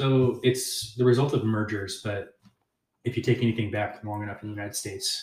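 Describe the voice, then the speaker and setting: This man speaks with an American accent in a fairly low, somewhat breathy voice with fairly even intonation. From Texas, rural central (Kempner). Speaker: pastor. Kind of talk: casual chat. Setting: in a home.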